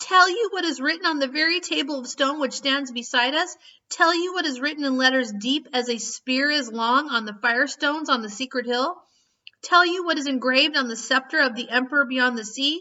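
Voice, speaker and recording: Using a put-on character voice, a woman speaks at a fairly quick pace, shrill and high-pitched. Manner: angry, accusing, rising.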